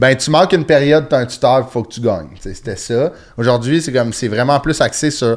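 An unremarkable speaking voice comes from a man at a medium pitch. He moves at a fairly quick pace with ordinary pitch variation. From Quebec (Sainte-Thérèse, north of Montreal). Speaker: comedian. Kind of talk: casual chat.

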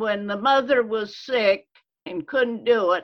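With an American accent, a woman does the talking. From rural Illinois, US. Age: old. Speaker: church member, centenarian guest. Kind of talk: casual interview, storytelling.

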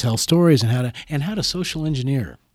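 A man with an American accent and a normal speaking voice uses lively intonation. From Des Moines, Iowa. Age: 60s. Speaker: musician and teacher. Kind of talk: interview conversation.

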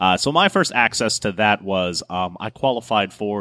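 A man speaks in a normal speaking voice at a fairly low pitch, with ordinary pitch variation, on a very clean recording with a silent background and a dry, close sound with no echo. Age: 30s. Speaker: bartender and podcast co-host. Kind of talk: casual chat. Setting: recorded at a bar.

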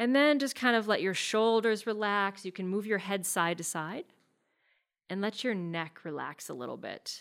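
A woman's plain, everyday voice at medium pitch, with lively intonation, a moderate pace, and a very clean recording over a silent background. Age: 40s. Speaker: yoga and meditation teacher, podcast host. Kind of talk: chatty solo podcast talk. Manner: relaxed, gently soothing, conversational pace with casual fillers; upbeat and friendly, with occasional laughs.

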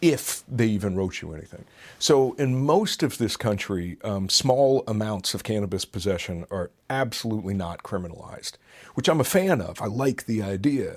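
In a plain, everyday voice, a man at medium pitch speaks at a moderate pace with lively intonation. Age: 40s. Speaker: addiction treatment center director and author. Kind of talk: interview.

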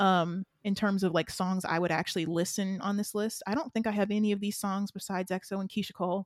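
Very fast woman's voice with hardly any pauses, medium in pitch, with a Southern US accent, dry and close with no echo. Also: fairly even intonation. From US South. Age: 20s. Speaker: podcast co-host. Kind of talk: casual chat.

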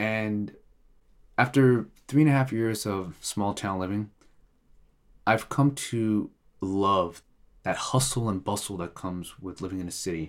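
With an American accent, a man speaks at a fairly slow pace and fairly low pitch, with ordinary pitch variation and long, frequent pauses, on a very clean recording with a silent background. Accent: sounds American. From Eritrea. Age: 30s. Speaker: immigrant guest. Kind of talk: casual interview. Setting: home studio.

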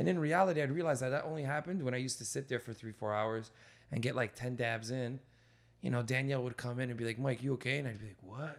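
A man's medium-pitched voice rushes along at a very fast pace. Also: ordinary pitch variation. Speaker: stand-up comedian and podcast host. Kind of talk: casual chat. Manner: animated.

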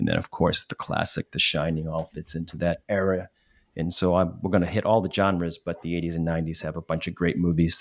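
Very deep and low, a man's voice runs at a very fast pace in a monotone, flat intonation. The recording is very clean with a silent background and a dry, close sound with no echo. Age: middle-aged. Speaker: podcast co-host. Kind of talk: casual chat.

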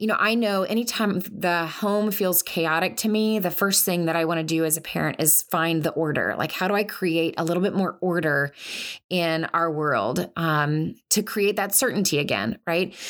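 Fairly low in pitch, a woman speaks in a normal speaking voice at a moderate pace with ordinary pitch variation. Her loudness is very even, and the recording is very clean with a silent background. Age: 40s. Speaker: podcast host, counselor and military spouse. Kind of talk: solo podcast talk. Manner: conversational, frequent filler words.

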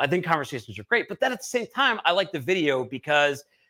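In an American accent, a man speaks very fast in a raised, projected voice with a bright, sharp tone. The sound is dry and close with no echo. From Boston. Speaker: podcast host and producer. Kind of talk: casual interview.

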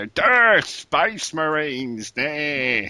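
A man puts on a character voice. His pitch sits fairly high. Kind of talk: crude, simple. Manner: dim, gruff shouting.

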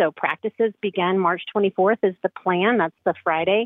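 A woman with a plain, everyday voice speaks at medium pitch and a moderate pace, with fairly even intonation. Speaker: youth sports coordinator. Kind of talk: casual report. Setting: phone call.

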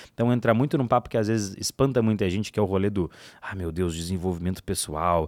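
The recording is very clean, with a silent background. A man talks at a very fast pace with lively intonation. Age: 20s. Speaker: digital marketing educator. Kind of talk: casual interview chat.

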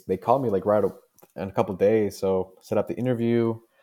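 The voice has a dark, mellow tone and a Spanish accent. It moves at a moderate pace with fairly even intonation. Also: man. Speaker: junior geologist. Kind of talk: interview.

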